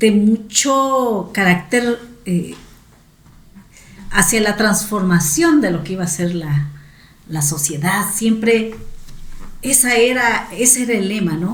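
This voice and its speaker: A woman speaks at a very slow pace with long, frequent pauses, a medium pitch and lively intonation. Audible room echo and noticeable background noise are present. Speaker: teacher and education academic. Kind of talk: interview.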